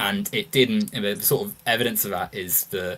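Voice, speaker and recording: With a British accent, a man speaks at a moderate pace, his pitch swinging very widely. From United Kingdom. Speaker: podcast host. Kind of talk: casual political discussion. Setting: livestream.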